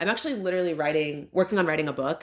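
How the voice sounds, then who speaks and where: A woman speaks in an American accent. Her tone is animated. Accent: Southern US accent, shows when talking fast. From US South. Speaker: AI product director and lecturer. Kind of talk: casual interview. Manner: fast, animated.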